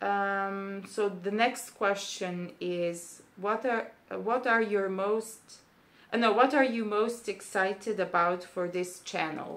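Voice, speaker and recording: A woman with a Serbian accent speaks very slowly. Her pitch is medium, with ordinary variation. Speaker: booktuber, PhD student. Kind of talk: casual vlog monologue. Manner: hesitant, many fillers.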